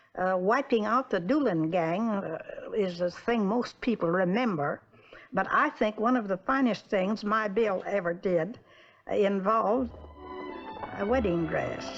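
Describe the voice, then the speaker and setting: Speaking at a fairly slow pace with ordinary pitch variation, a woman with an American accent is heard over noticeable background noise. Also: medium pitch for a woman, very even loudness. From Oklahoma. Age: 80s+. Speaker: marshal's widow. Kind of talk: interview.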